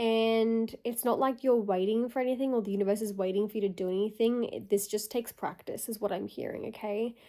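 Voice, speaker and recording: A woman speaks at a fairly quick pace with hardly any pauses, her pitch fairly high. Her tone is dark and mellow, and her intonation stays fairly even. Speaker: spiritual channeler. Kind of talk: channelled message to viewers. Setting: at home getting ready for bed.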